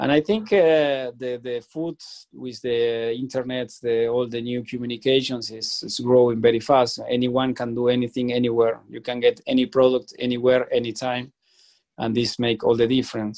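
Speaking with a Spanish accent, a man keeps a moderate pace, a medium pitch and fairly even intonation. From Argentina. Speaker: chef. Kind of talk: interview. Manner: halting, frequent fillers.

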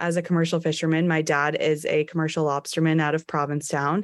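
A woman's plain, everyday voice with an American accent, fairly low in pitch, at a moderate pace. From Cape Cod, Massachusetts (Truro). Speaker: fishing gear recycler. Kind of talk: interview.

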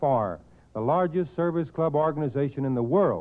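A man talks at a moderate pace in a normal speaking voice. His intonation is lively. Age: 40s. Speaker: service club director. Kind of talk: 1940s prepared radio speech. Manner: formal.

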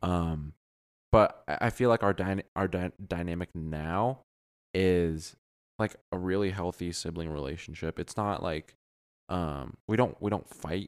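On a very clean recording with a silent background, a man speaks with an American accent at a fairly slow pace. His very deep, low voice has ordinary pitch variation and a dry, close sound with no echo. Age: 20s. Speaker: podcast co-host. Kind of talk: casual chat.

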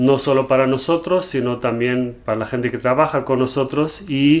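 A man speaks at a fairly high pitch in a plain, everyday voice. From Germany. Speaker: entrepreneur, business partner of host. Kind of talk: casual chat. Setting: home, game room, on video.

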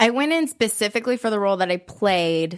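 The recording is very clean with a silent background, featuring a woman with a Californian accent. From Southern California, Orange County. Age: 20s. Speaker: dancer in recovery from addiction. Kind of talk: interview. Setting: studio.

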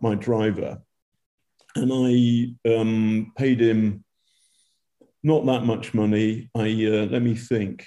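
At a very slow pace, a man speaks with a British accent. His voice is medium in pitch, with a dark, mellow tone. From Britain. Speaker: war reporter. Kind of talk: live interview.

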